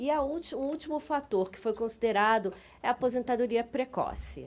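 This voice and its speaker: Speaking at a fairly quick pace, a woman with a high pitch and ordinary pitch variation shows big swings in loudness on a very clean recording with a silent background. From Brazil. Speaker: business council director, lawyer. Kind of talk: conference presentation. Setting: conference with audience. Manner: halting.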